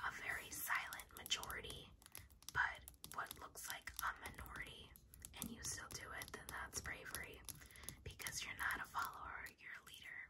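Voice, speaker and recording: Soft-spoken whispering over loud background noise. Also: moderate pace. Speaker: ASMR creator. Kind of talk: casual ASMR chat reading a quiz. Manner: soft ASMR whisper.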